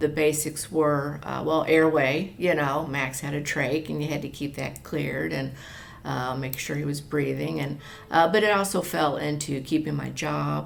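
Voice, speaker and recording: At a moderate pace, a woman speaks with audible room echo and noticeable background noise. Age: 60s. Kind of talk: interview. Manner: halting, many fillers; conversational.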